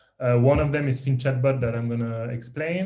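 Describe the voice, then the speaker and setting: Speaking with a French accent, a man keeps a medium pitch, a moderate pace and fairly even intonation. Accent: French accent, milder than years ago. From France, Paris. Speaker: tech startup founder and CEO. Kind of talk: podcast interview.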